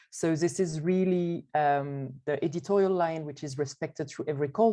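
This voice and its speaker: There is a quiet background behind this woman. She speaks with a French accent and a dark, mellow tone. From France. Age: 30s. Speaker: arts network board president. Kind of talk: panel presentation.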